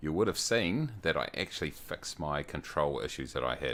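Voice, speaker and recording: This soft-spoken voice has vocal fry and lively intonation, moving at a fairly quick pace in a New Zealand accent. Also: man. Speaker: flight sim streamer. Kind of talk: casual livestream commentary. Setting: home at night, others asleep.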